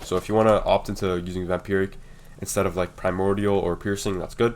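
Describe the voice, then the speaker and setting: The voice runs at a very fast pace with monotone, flat intonation. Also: man, fairly low pitch for a man. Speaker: gaming YouTuber. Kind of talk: game guide tutorial. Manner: casual, many fillers.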